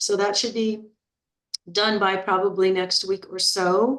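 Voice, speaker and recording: A woman with a medium-pitched voice speaks at a fairly slow pace with fairly even intonation. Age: 60s. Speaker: health and weight-loss coach. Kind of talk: group coaching talk. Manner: casual, with frequent fillers and repetitions.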